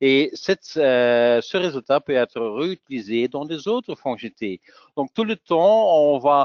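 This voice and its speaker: Lively intonation at a very slow pace. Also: man. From Flanders, Belgium (Antwerp). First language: Dutch (speaking French). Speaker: software technical specialist and trainer. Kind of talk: webinar presentation. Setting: online webinar. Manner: halting, many hesitations.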